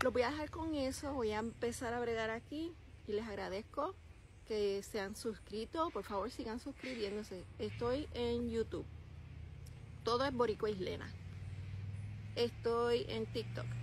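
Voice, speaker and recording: With a Puerto Rican accent, a woman speaks at a fairly slow pace with long, frequent pauses, in a dry sound with no echo over light background noise. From Puerto Rico. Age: 50s. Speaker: vlogger. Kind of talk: casual vlog talk to camera. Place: open country. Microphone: phone near.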